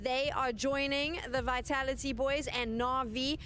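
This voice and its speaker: In a South African accent, a high-pitched woman speaks at a fairly slow pace, with noticeable background noise and audible room echo. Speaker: esports broadcast desk host. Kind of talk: live esports broadcast desk segment.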